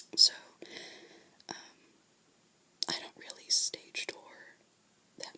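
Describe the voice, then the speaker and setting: Someone whispers in a calm tone at a moderate pace. Noticeable background noise can be heard. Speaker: ASMR creator. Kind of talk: ASMR whispered ramble about theatre. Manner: whispered, soft-spoken, calm.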